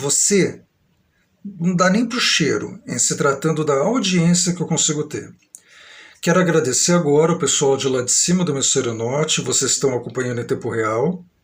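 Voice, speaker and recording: In a São Paulo accent, a man talks with lively intonation at a fairly high pitch. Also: moderate pace. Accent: old-fashioned São Paulo. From Brazil, São Paulo state. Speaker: vlogger. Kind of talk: live stream monologue. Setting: live stream.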